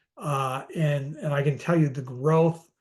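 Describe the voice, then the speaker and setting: In a quiet background, a somewhat breathy man talks at a fairly high pitch with ordinary pitch variation. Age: 60s. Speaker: finance expert, former asset management executive. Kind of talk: webinar presentation. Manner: halting, many fillers and repeats.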